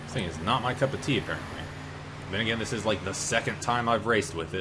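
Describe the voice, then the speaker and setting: Animated in tone, a man speaks at a very fast pace and fairly low pitch with ordinary pitch variation, with audible room echo and music in the background. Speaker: gaming YouTuber. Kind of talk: gameplay commentary. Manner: loud.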